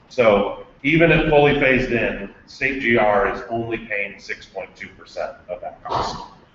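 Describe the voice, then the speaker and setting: The speaker is a man at a moderate pace. There is noticeable background noise. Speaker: health policy presenter. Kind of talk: presentation.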